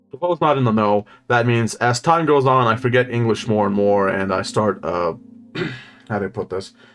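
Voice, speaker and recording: Music plays in the background. The speaker keeps a moderate pace with ordinary pitch variation. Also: man, medium pitch for a man. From Slovenia. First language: Slovenian. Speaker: gaming streamer. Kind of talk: live gameplay commentary. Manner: animated.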